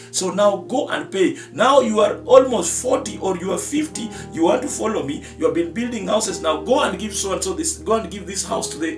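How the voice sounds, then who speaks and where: A man talks at a moderate pace with hardly any pauses. Clear music plays behind him, and the room echo is audible. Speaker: pastor. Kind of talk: sermon. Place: studio.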